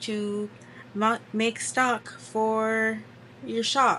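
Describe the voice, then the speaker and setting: A soft-spoken woman talks with a bright, sharp tone. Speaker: crochet content creator and small business owner. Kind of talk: casual chat.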